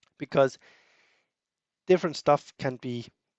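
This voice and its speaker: Here a man is talking. His pace is fairly quick. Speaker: software developer. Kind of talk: tutorial. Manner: halting, many fillers and repetitions.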